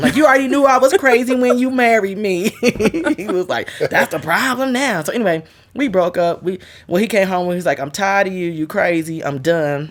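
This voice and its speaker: Loud, animated speech from a woman at medium pitch, with very wide pitch swings and a fairly quick pace. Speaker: guest sharing her marriage story. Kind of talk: casual interview chat.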